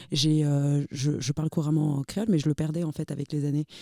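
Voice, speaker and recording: A woman speaks at a moderate pace with a very deep, low pitch and a dark, mellow tone. The sound is dry and close, with no echo. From Haiti, moved to France at age four. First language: Haitian Creole (speaking French). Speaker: podcast guest. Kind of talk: casual podcast discussion. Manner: hesitant, many fillers and repetitions.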